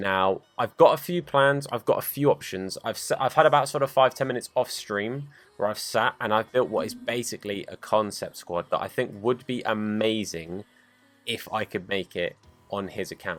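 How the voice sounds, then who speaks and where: A man's medium-pitched voice at a moderate pace, ordinary pitch variation, very clean recording with a silent background. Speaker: gaming youtuber. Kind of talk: gameplay commentary. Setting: at home, others downstairs. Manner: naturally loud.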